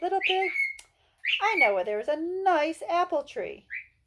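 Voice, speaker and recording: An extremely high, put-on character voice speaks at a moderate pace. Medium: read story.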